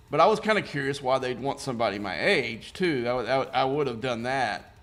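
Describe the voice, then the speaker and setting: Lively in intonation, a man speaks at a fairly quick pace and a medium pitch. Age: 60s. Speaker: gaming streamer. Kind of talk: casual chat while live-streaming gameplay. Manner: halting, many restarts and fillers.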